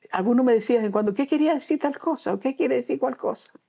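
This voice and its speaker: This woman speaks with a Canarian accent. Her intonation is lively. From Canary Islands, Gran Canaria. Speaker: children's author and storyteller. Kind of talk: interview. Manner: halting.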